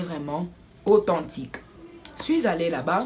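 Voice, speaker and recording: A woman speaks at a fairly slow pace with noticeable background noise behind her. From Democratic Republic of the Congo. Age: 20s. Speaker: student / vlogger. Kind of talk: casual story time to camera.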